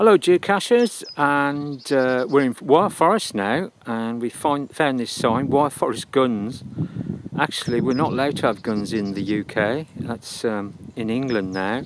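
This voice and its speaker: Loud background noise behind a man at a fairly slow pace, in a dry sound with no echo. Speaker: geocaching vlogger. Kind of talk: casual vlog chat. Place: open country. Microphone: phone near.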